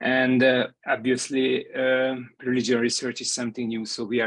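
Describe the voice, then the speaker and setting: Speaking in a Hungarian accent, a man keeps a medium pitch, a moderate pace and a flat, monotone delivery. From Hungary. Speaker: professor. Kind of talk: memorial tribute. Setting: video call. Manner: halting.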